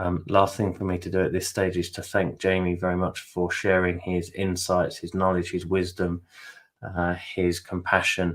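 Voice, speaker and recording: With a British accent, a man talks in a very deep, low pitch. His intonation is monotone and flat, and his pace is fairly slow. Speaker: webinar host and interviewer. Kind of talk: webinar wrap-up. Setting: online webinar.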